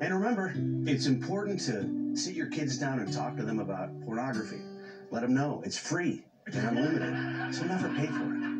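Someone speaks at a moderate pace over loud music in the background. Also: man. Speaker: comedian. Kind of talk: comedy bit on late-night talk show. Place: studio.

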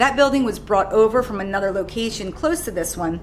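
A woman at a fairly quick pace, ordinary pitch variation, music in the background. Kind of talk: guided tour explanation. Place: shop.

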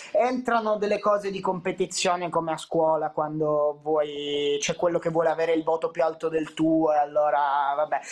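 A man with a fairly high pitch speaks at a moderate pace with ordinary pitch variation and hardly any pauses over a quiet background. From Calabria, southern Italy (Catanzaro). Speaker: content creator. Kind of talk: casual chat. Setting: video call. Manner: loud. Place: home room. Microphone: video call.

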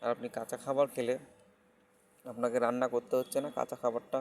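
A man talks in a medium-pitched voice with monotone, flat intonation. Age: 30s. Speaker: health vlogger. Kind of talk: casual advice monologue.

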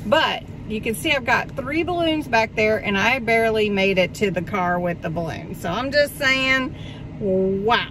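A woman at a fairly slow pace, dry sound with no echo, noticeable background noise. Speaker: haul vlogger. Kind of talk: casual vlog chat. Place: car. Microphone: phone near.

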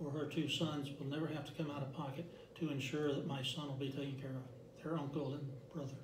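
Amid noticeable background noise, a man races along at a very fast pace, his fairly high pitch in a monotone, flat intonation. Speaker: direct sales representative. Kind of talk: interview. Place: meeting room. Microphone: camera far.

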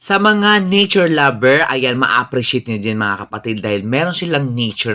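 A man talks at a fairly quick pace with hardly any pauses, his pitch swinging very widely. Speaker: travel and food vlogger. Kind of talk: vlog narration. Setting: outdoors at open-air restaurant. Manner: casual, filler-heavy.

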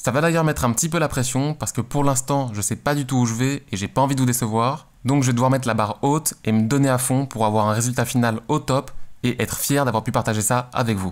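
With hardly any pauses, a man talks at a very fast pace. His intonation is fairly even, and the background is quiet. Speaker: graphic designer youtuber. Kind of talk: casual vlog chat. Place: home room. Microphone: studio mic.

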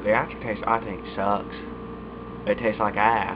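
Noticeable background noise behind a man talking at a moderate pace. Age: young. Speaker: YouTuber reviewing dip tobacco. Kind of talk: casual vlog monologue. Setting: recording alone at webcam. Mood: relaxed, laid-back. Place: home room. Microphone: webcam.

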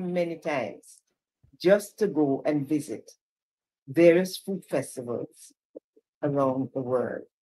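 Her pace is very slow as this woman talks. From Jamaica. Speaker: cultural commissioner. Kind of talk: casual chat. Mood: warm, reminiscing. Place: home room. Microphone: video call.

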